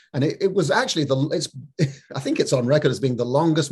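A man's fairly high voice with a husky, rough edge

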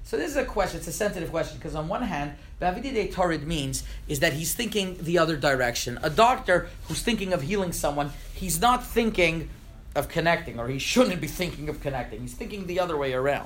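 A man with a high pitch and lively intonation at a very fast pace, amid audible room echo. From Montreal, Canada. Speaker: rabbi. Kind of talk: lecture. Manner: halting, with frequent repetitions.

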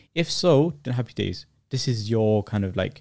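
On a very clean recording with a silent background, a man speaks with a London accent. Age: 20s. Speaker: video creator. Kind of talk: casual chat. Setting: studio. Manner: fast talker; halting, repeats words.

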